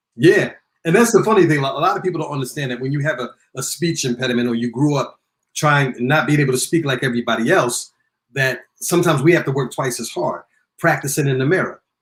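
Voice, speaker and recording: A man speaks at a very fast pace with fairly high pitch. His voice is somewhat breathy, with ordinary pitch variation. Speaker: radio personality, recording artist and author. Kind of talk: interview. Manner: sometimes very fast, stumbles over words.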